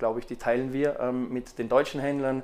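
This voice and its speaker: On a very clean recording with a silent background, a man speaks in a normal speaking voice. His pitch is medium and his intonation fairly even. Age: 30s. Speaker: fashion retail managing director. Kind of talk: interview. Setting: on location at an agency.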